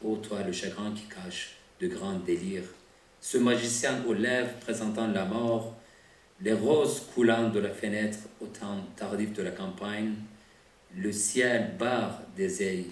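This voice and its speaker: In a non-native accent, a man with a fairly low pitch and ordinary pitch variation speaks at a very slow pace amid audible room echo. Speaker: poet. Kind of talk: poetry reading.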